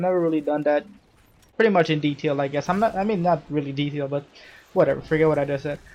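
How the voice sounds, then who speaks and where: A man talks at a very fast pace. His fairly high pitch comes with fairly even intonation. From Trinidad and Tobago. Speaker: gaming youtuber. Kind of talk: gameplay commentary, casual personal talk. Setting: at home recording late at night. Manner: casual, rambling with many fillers.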